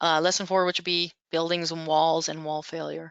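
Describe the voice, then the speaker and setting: The woman's voice sits at a fairly low pitch. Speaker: software instructor. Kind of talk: tutorial. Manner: casual, self-correcting.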